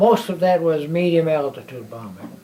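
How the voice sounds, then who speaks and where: There is noticeable background noise behind a man speaking with an American accent at a high pitch. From Illinois, near Chicago. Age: 80s+. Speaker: war veteran. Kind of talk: interview testimony. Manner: halting, repeating words.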